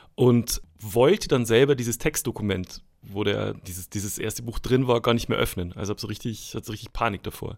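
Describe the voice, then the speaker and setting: A man with an ordinary speaking voice talks at a fairly quick pace and medium pitch, with ordinary pitch variation and hardly any pauses. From Bavaria (Schwandorf, Upper Palatinate). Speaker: author and comedy writer. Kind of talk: interview.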